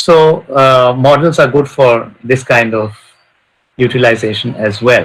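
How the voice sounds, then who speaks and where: This man's voice is somewhat breathy. He talks at a fairly slow pace. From India. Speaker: professor of control engineering. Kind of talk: lecture. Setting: webinar video call.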